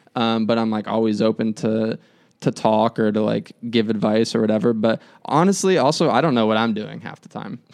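A man with an American accent has an ordinary speaking voice, medium in pitch with ordinary pitch variation. He talks at a fairly quick pace against a quiet background. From Arizona, US. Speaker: videographer. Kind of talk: casual interview.

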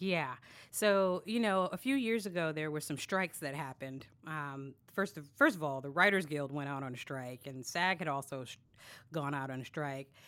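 On a very clean recording with a silent background, a woman with an American accent speaks at a moderate pace in a very deep, low voice, with lively intonation and big swings in loudness. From New York City, Brooklyn. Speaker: voiceover actor. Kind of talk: casual interview.

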